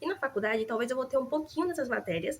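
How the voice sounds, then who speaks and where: A woman talks in an animated tone with ordinary pitch variation. Her voice is somewhat breathy. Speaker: nursing student vlogger. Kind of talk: casual vlog chat. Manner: fast.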